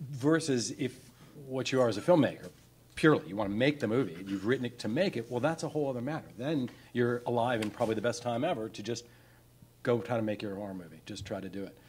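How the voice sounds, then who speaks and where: Over light background noise, a man speaks at a very fast pace with ordinary pitch variation. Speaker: panelist. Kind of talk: panel discussion answer. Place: hall. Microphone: handheld.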